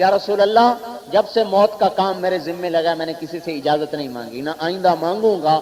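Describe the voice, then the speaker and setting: Noticeable background noise accompanies a man whose voice is high in pitch. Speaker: Islamic religious scholar. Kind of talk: religious sermon.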